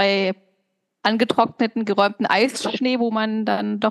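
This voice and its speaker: In an unremarkable speaking voice, a woman talks at a fairly high pitch with fairly even intonation, the sound dry and close with no echo. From East Westphalia, Germany. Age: 30s. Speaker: podcast co-host. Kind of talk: casual chat.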